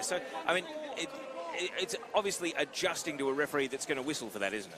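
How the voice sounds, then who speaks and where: Noticeable background noise sits behind a man's voice. He talks at a very fast pace with very wide pitch swings. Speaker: play-by-play commentator. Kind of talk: live sports commentary. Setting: commentator's table at live event. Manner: lowered voice.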